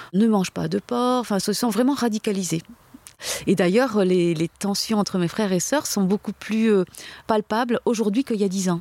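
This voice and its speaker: A woman's dark, mellow tone comes through a dry, close sound with no echo. Her loudness is very even, with ordinary pitch variation. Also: medium pitch for a woman, moderate pace. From France, Algerian parents. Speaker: convert from Islam to Christianity. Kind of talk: testimony. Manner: halting.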